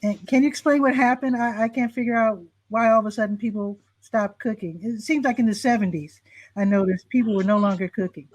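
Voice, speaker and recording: At a very fast pace, a somewhat breathy speaker with an American accent talks against a quiet background. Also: woman, fairly high pitch for a woman, ordinary pitch variation. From Chicago, US Midwest. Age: 60s. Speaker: talk show host. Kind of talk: interview.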